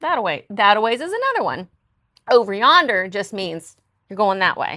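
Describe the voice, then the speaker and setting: A woman with an American accent speaks at a moderate pace in a normal speaking voice, her pitch in the medium range. Her intonation is lively, and her loudness swings widely. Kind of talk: casual talk to camera.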